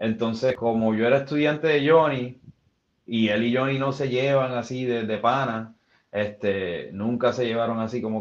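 Moderately paced male speech at medium pitch, in an ordinary speaking voice. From Puerto Rico, west. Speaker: former professional wrestler and musician. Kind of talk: casual interview.

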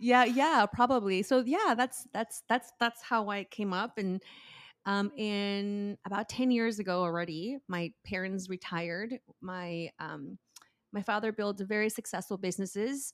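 A woman speaks at a fairly slow pace in a medium pitch with ordinary pitch variation, in a very clean recording with a silent background and a dry, close sound with no echo. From Oaxaca, Mexico. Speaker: cookbook author and restaurant owner. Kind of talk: casual interview chat.

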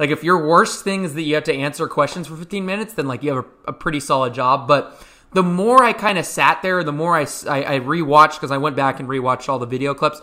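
Loud and very fast, a man talks in a bright, sharp tone. His pitch is fairly high, with ordinary variation. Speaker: basketball podcast host. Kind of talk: casual chat.

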